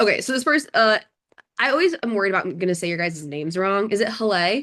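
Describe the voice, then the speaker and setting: Bright, sharp tone from a woman at medium pitch, very wide pitch swings, very fast pace. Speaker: bar exam tutor. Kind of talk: online workshop. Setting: video call.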